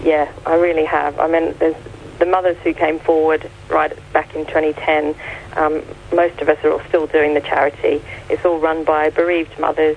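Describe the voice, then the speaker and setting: A woman's very deep, low voice with monotone, flat intonation over noticeable background noise. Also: moderate pace. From Australia. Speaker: charity founder. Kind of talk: radio interview. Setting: phone call.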